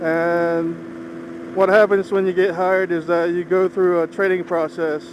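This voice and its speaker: A man talks with hardly any pauses while noticeable background noise plays behind him. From Philippines, moved to US at age 10. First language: Ilocano. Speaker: motorcycle vlogger. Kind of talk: casual vlog monologue while riding. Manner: measured, not fast.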